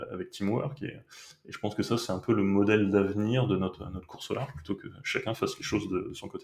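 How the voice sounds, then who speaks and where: Breathiness is somewhat present in this voice. The delivery comes at a fairly quick pace. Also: man. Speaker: sailing skipper, company manager. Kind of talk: podcast interview answer.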